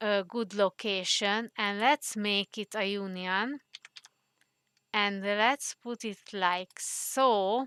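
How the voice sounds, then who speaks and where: A woman with a non-native accent speaks very slowly in a bright, sharp tone, her medium pitch held to fairly even intonation. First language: not English. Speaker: 3D modeling tutorial creator. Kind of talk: tutorial. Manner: hesitant, many fillers.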